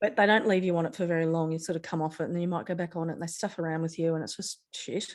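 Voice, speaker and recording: A woman's voice sits fairly low. The background is silent on this very clean recording. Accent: Australian. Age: 50s. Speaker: ADHD guest, digital marketer. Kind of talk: interview.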